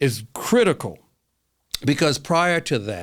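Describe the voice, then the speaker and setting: In a very clean recording with a silent background, a man speaks at a moderate pace with an animated tone and very wide pitch swings. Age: 60s. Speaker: history professor. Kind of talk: interview conversation. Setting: podcast recording. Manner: animated, emphatic with many restarts.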